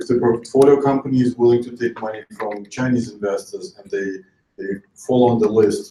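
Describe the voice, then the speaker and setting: Using a Russian accent, a man talks at a moderate pace in a medium pitch and a dark, mellow tone, with fairly even intonation and big swings in loudness. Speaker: investor. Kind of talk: panel discussion. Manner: halting.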